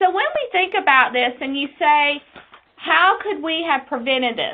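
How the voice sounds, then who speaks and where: A woman with an Eastern North Carolina accent, lively intonation, moderate pace. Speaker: quality nurse specialist. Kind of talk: webinar presentation.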